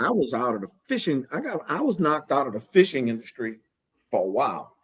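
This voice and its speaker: With a South Louisiana accent, a man speaks at a fairly quick pace. His pitch is fairly high and swings very widely. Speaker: fishing scent maker. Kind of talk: podcast guest conversation. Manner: casual.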